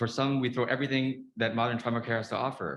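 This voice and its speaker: The man's speech rushes along at a very fast pace. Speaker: trauma surgeon. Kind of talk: conference talk. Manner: quiet; halting.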